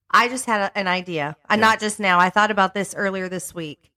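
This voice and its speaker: A woman speaks at a medium pitch with a bright, sharp tone. The sound is dry and close, with no echo. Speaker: podcast co-host. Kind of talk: casual chat.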